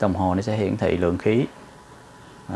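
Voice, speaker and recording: Amid light background noise, a man speaks at a moderate pace, his fairly low pitch held in fairly even intonation. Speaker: welding instructor. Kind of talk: tutorial. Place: workshop.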